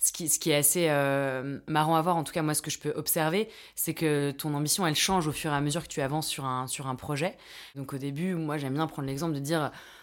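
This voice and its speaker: Speaking at a fairly quick pace, a woman with a very deep, low pitch keeps her intonation fairly even on a very clean recording with a silent background. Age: 30s. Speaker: entrepreneur and mentor. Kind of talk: interview. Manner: hesitant, many fillers and repetitions.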